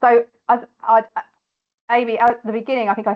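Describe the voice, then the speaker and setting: With a British accent, a woman talks at a fairly quick pace in a fairly high voice. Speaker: mortgage adviser. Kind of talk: online workshop Q&A. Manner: fast.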